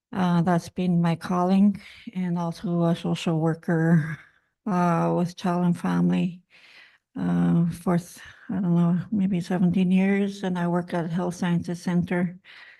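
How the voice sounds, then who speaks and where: Against a quiet background, a woman with a dark, mellow tone and a fairly low pitch speaks at a fairly slow pace in a flat monotone. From Manitoba First Nations, Garden Hill area. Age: 60s. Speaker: community elder. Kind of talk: speech at a gathering. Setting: conference summit. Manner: halting, many fillers.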